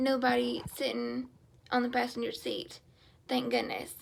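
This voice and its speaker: A woman in a Southern US accent talks with very wide pitch swings. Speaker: stroke survivor vlogger. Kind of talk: personal testimony. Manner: halting.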